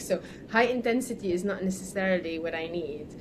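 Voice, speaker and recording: A woman, heard over noticeable background noise, keeps a moderate pace and ordinary pitch variation. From Lebanon. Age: 40s. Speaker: weightlifter. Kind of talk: casual chat.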